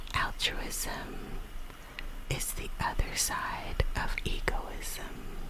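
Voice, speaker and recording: Very slowly, a whisper comes through noticeable background noise. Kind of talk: ASMR poetry reading, whispered. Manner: whispered, soft.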